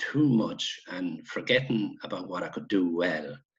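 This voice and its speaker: The speaker is a man. He talks in an Irish midlands accent. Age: 60s. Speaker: retired Gaelic football player. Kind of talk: casual interview chat.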